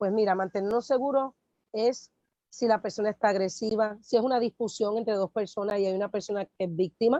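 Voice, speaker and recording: The voice is dark and mellow, with fairly even intonation and a fairly quick pace, recorded with a dry, close sound, no echo and a quiet background. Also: woman. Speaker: pastor and workshop co-presenter. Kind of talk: workshop training talk.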